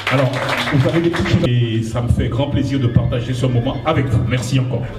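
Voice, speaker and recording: Music plays in the background and room echo is audible as a man talks at a fairly quick pace. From Guadeloupe. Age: 60s. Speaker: painter and poet presenting his exhibition. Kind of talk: exhibition opening speech. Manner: halting, with repeated words.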